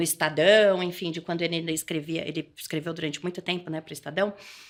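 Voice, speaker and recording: A woman's fairly low-pitched voice with a São Paulo interior accent and fairly even intonation, on a very clean recording with a silent background. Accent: caipira accent (rural São Paulo). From interior of São Paulo state, Brazil (Adamantina). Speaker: political leader and trainer. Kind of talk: podcast interview. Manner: halting, with frequent repetitions.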